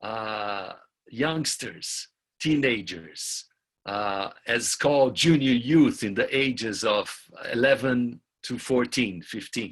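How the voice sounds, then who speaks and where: A man at medium pitch, speaking at a very slow pace. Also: ordinary pitch variation. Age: 60s. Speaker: community youth program facilitator. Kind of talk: webinar talk, interpreted consecutively. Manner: halting, with fillers.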